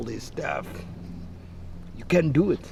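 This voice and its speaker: This man talks while noticeable background noise carries on around him. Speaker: talk show host. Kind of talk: interview questions.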